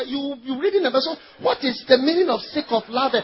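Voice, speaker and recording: Amid noticeable background noise, a man with a Ghanaian accent speaks in an animated tone with ordinary pitch variation. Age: 40s. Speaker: pastor. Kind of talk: sermon.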